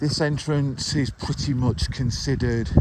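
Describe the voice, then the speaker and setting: Noticeable background noise runs through the clip. Over it, a man talks fairly slowly. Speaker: dog walker vlogger. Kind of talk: walking vlog narration. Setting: outdoors.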